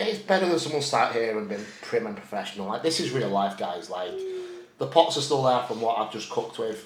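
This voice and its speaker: In a Yorkshire accent, a man of medium pitch talks fairly quickly with very wide pitch swings, amid noticeable background noise and audible room echo. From Yorkshire, northern England. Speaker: bodybuilder and prep coach vlogger. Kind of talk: casual chat. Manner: casual, swearing, rambling.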